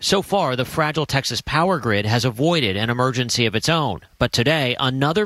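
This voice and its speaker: A man's plain, everyday voice, medium in pitch and fairly quick, with lively intonation and a dry, close sound with no echo. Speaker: TV news correspondent. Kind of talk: news report.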